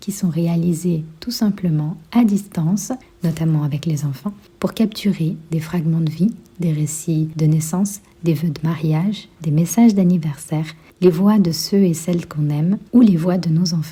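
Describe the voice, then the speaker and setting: An unremarkable speaking voice from a woman, fairly low in pitch, with ordinary pitch variation and a fairly slow pace. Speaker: podcast host. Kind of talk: podcast ad read.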